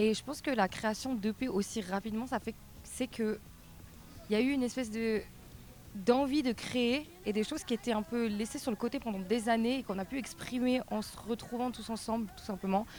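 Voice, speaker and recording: Music plays in the background as a woman talks in a fairly high voice with fairly even intonation. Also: moderate pace. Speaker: punk rock singer. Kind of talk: TV interview.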